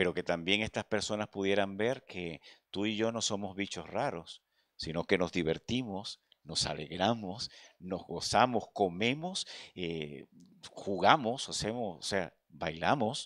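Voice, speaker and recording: Speaking at a fairly slow pace with ordinary pitch variation, the voice sounds dry with no echo against a quiet background. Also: man. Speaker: preacher. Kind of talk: sermon. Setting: church. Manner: earnest, pastoral, direct appeals to the congregation; repetitive, stumbling starts with filler words. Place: church. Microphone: handheld.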